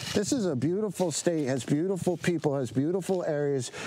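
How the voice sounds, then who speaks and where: A man with an American accent speaks at a fairly quick pace in a fairly high pitch with ordinary pitch variation, over noticeable background noise. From South Jersey, US (Medford). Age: 40s. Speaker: chef and restaurant owner. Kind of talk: casual interview. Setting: outdoors in the woods.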